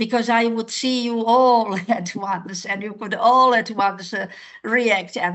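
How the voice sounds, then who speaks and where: With a slight Slovak accent, this woman speaks at a fairly high pitch with ordinary pitch variation. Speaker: language teacher. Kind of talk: online class instruction. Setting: video call. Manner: hesitant, many fillers.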